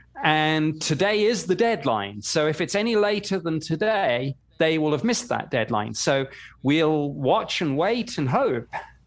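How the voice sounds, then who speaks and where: A man with a British accent, fairly high pitch and very wide pitch swings, at a fairly slow pace, on a very clean recording with a silent background. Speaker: former government UFO investigator. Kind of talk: interview.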